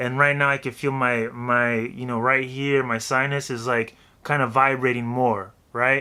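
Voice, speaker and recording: A man does a put-on character voice at medium pitch, nasal and flat in a monotone. He talks at a moderate pace on a very clean recording with a silent background. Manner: demonstrating a voice technique.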